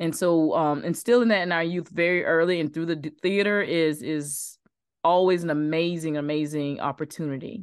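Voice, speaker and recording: This woman has a normal speaking voice, fairly low in pitch. She keeps a moderate pace and fairly even intonation. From South Carolina, small town. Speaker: actress. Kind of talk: casual interview.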